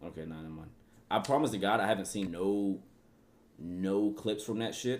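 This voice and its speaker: Speaking at a moderate pace with long, frequent pauses, a man with a fairly low pitch shows ordinary pitch variation and big swings in loudness. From Atlanta, US South. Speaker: streamer reacting to video. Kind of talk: livestream reaction commentary.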